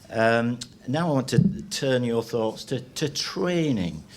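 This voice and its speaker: With audible room echo, a man talks using lively intonation. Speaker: retired meat science lecturer. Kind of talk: seminar presentation. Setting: stage with audience. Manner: halting, many repetitions.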